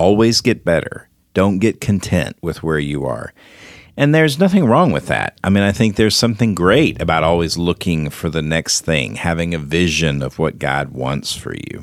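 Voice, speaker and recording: A man speaks at a moderate pace. His very deep, low voice has vocal fry. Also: lively intonation. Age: 50s. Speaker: ministry leader and radio host. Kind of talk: faith-based counseling discussion.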